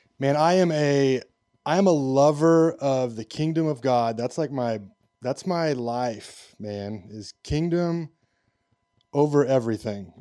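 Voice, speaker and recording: On a very clean recording with a silent background, a man speaks at a fairly slow pace. His dark, mellow tone sits at a fairly high pitch. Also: ordinary pitch variation. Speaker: podcast producer and mentor. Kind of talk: casual interview chat. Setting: studio.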